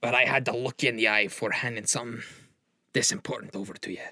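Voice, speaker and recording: A raspy, put-on character voice from a man, medium in pitch, at a very fast pace. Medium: actual play. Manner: commanding.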